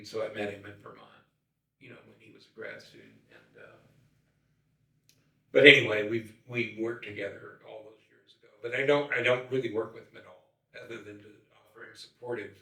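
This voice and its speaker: A man talks at a fairly quick pace, with long, frequent pauses. His loudness swings widely, and the room echo is audible. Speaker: wraparound care consultant. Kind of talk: podcast interview conversation. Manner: halting, many fillers and repetitions.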